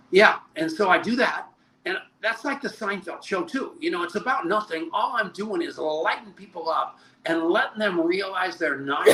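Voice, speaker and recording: Against noticeable background noise, a man uses a raised, projected voice at a moderate pace. His pitch is high and swings very widely. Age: 70s. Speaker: network marketing leader. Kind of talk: interview.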